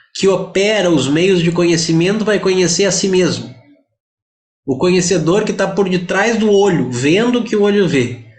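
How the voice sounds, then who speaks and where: A man with a high pitch keeps his loudness very even, with audible room echo around his voice. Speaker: Vedanta teacher. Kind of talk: lecture.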